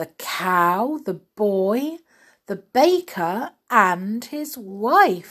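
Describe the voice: Lively intonation in plain reading aloud, over a quiet background.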